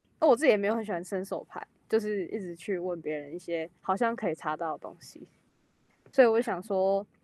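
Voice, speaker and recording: In a plain, everyday voice, a woman speaks at medium pitch with lively intonation and big swings in loudness, the sound dry and close with no echo. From Taiwan. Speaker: exchange student, drama major. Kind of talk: casual chat.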